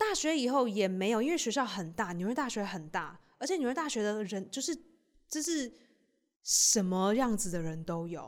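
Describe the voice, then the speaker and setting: A woman's fairly high, animated voice with very wide pitch swings, at a moderate pace, on a very clean recording with a silent background. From Taiwan. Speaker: stand-up comedian and podcast host. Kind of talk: casual chat.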